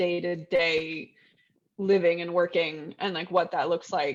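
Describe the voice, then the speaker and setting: A woman speaks with an American accent at a medium pitch. She has a plain, everyday voice. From Texas. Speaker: novelist. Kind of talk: casual interview chat.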